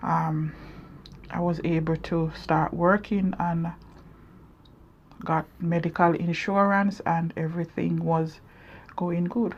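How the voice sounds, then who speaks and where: Somewhat breathy and fairly low-pitched, a woman speaks at a very slow pace in a monotone, flat way, with long, frequent pauses. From Jamaica. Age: 40s. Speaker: vlogger. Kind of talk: personal testimony. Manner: halting.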